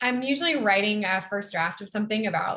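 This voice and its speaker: A woman speaks at a fairly quick pace in a bright, sharp tone. Her pitch varies in an ordinary way. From US South. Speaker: novelist. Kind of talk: interview. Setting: video call from a hotel room.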